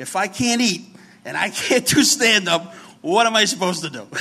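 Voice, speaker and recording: This man speaks in a New York accent with a bright, sharp tone. His intonation is lively and his pace fairly quick. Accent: heavy New York. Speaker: recovery program worker and former comedian. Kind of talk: testimony. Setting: stage with audience. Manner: animated.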